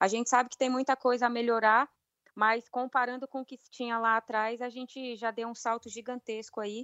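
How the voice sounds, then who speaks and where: Her voice high in pitch, a woman speaks at a moderate pace with monotone, flat intonation and big swings in loudness. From Brazil, Brasília. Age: 30s. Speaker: professional women's footballer. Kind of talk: interview.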